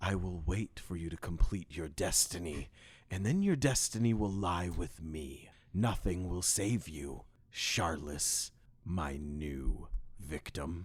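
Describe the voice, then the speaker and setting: A man whispering in a put-on character voice at a fairly slow pace, on a very clean recording with a silent background. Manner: cold, eerie whisper.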